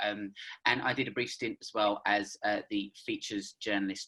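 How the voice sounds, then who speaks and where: The voice has a British accent and a bright, sharp tone. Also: man. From United Kingdom. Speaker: freelance journalist. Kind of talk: panel discussion. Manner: hesitant, many fillers.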